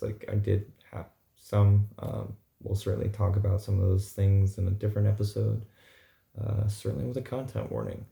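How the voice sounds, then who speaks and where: A man speaks in a fairly low voice with a dark, mellow tone. His delivery is somewhat breathy. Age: 30s. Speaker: vlogger. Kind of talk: casual vlog monologue.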